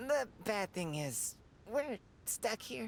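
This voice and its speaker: A put-on character voice at a fairly high pitch, with clear background noise. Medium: video game. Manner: chatty, genteel.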